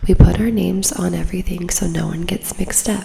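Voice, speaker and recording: Over noticeable background noise, a woman whispers, soft-spoken. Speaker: ASMR creator. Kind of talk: ASMR reading of online posts. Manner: whispered, soft-spoken.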